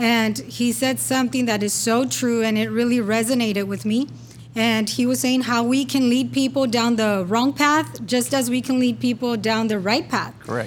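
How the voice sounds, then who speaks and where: A woman with a normal speaking voice talks at a fairly high pitch and moderate pace, her loudness very even. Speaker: church pastor and co-host.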